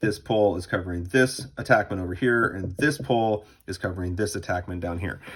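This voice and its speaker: A somewhat breathy voice at a fairly quick pace with ordinary pitch variation. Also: man, very deep, low pitch for a man, very clean recording, silent background. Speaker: lacrosse coach. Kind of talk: tutorial. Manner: fast.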